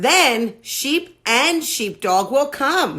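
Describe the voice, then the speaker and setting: Using a put-on character voice, a woman speaks at a high pitch. The recording is very clean, with a silent background. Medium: read story.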